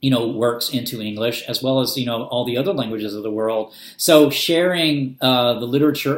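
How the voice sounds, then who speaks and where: At a moderate pace, a man with a medium pitch and a slight Southern US accent speaks with fairly even intonation. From US South, Arkansas. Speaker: booktuber. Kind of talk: casual vlog talk. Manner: hesitant, many fillers.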